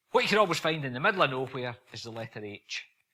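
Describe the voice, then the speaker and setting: A man talks at a fairly quick pace with medium pitch. His tone is bright and sharp, and his intonation is lively. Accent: Scottish. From Scotland. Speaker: visiting preacher. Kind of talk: sermon. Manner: fast.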